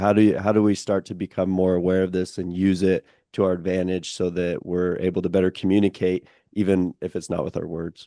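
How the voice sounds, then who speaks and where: A man with an American accent speaks fairly quickly in a very deep, low voice with a dark, mellow tone and monotone, flat intonation. The sound is dry and close with no echo, and the background is quiet. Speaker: podcast host. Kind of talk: podcast interview.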